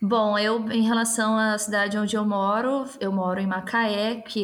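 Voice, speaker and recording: A fairly high-pitched woman is talking. She keeps to a moderate pace. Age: 20s. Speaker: teacher. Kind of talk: casual political discussion.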